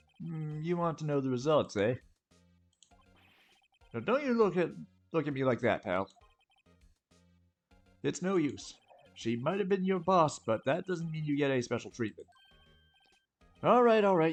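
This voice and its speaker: A man puts on a gruff character voice with a fairly high pitch and very wide pitch swings, at a moderate pace. He leaves long, frequent pauses, and faint music plays in the background. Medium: game stream. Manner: gruff, blustery, keeps saying pal.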